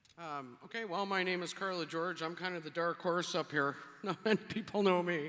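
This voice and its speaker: In a Cape Breton accent, a woman speaks at a moderate pace with a fairly low pitch. Her tone is bright and sharp, with fairly even intonation. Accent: Cape Breton Canadian English. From Cape Breton, Nova Scotia. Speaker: mayoral candidate. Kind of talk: candidate debate statement. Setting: stage with audience.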